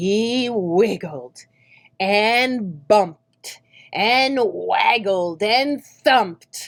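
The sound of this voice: An unforced reading voice set against a quiet background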